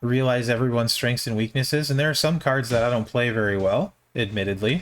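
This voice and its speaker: Speaking with an American accent, a man uses a medium pitch. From US Midwest (Minnesota). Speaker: game streamer. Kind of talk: live stream commentary. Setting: live stream. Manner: monotone; mellow.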